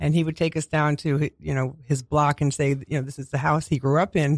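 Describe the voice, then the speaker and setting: A man's fairly high voice with a New York accent, at a moderate pace with fairly even intonation, dry and close with no echo, on a very clean recording with a silent background. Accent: New York (Queens). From Queens, New York City. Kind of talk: radio interview, with poem reading. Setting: radio studio.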